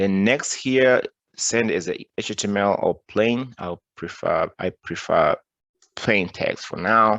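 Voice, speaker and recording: With a non-native accent, a man speaks at a very slow pace. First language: not English. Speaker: cybersecurity tutorial presenter. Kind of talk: screen-recorded tutorial. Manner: halting, many restarts and fillers.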